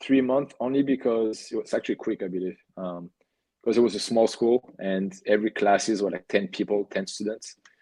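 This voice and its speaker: A man speaks at a fairly low pitch with a dark, mellow tone and a strong French accent. His pace is moderate and his intonation fairly even. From France, Cannes. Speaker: professional soccer goalkeeper. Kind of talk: podcast interview. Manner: halting, with fillers and repeats.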